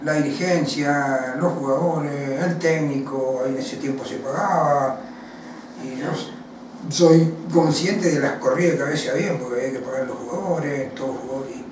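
Amid noticeable background noise and audible room echo, a man with a fairly high pitch talks at a moderate pace with fairly even intonation. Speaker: former footballer. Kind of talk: interview. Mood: reflective, recalling career. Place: home room.

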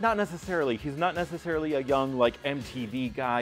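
Faint background music under a man talking at a moderate tempo. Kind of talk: film intro commentary.

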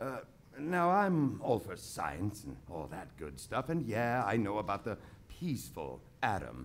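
At a fairly slow pace, the speaker's voice shows vocal fry and very wide pitch swings. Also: man. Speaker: storyteller. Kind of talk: reading aloud. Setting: stage with live audience. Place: stage. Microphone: studio mic.

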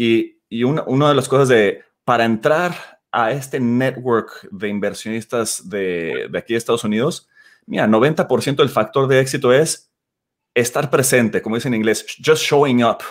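At a fairly slow pace and with ordinary pitch variation, a man speaks against a quiet background. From Mexico, Guadalajara; Jalisco, Mexico. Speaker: startup CEO. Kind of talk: interview. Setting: video call.

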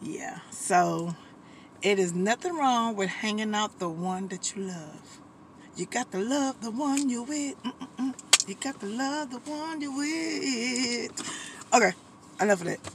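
Over loud background noise, a woman speaks fairly slowly in a dry sound with no echo. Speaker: vlogger. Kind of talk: casual vlog chat. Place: car.

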